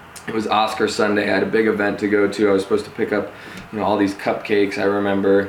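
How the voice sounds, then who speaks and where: A man with an American accent at a very fast pace, fairly low-pitched and flat in a monotone, with audible room echo and noticeable background noise. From Denver, Colorado. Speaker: reality TV contestant turned home builder. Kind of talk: interview.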